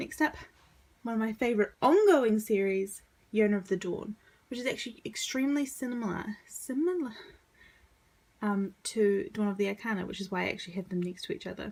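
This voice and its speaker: Speaking at a fairly quick pace with long, frequent pauses, a woman uses a fairly high, somewhat breathy voice with lively intonation. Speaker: manga collector video creator. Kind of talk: casual collection showcase.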